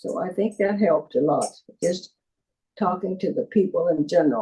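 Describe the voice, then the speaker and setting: A woman's somewhat breathy voice, dark and mellow in tone and fairly low in pitch, moves at a fairly slow pace with lively intonation. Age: 80s+. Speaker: former mayor. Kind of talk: interview answer.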